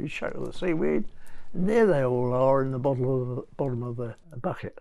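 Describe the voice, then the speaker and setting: A man with an English accent speaks over light background noise. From England. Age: 90s. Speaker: zoologist. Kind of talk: interview. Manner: halting. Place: home room. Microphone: lapel.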